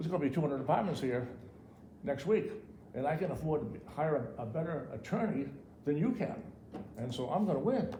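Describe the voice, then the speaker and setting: In a room with audible echo, a man with a fairly high pitch speaks at a very fast pace with very wide pitch swings and long, frequent pauses. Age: 70s. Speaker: local developer and tradesman. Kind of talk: public comment at town meeting. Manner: halting, many repetitions.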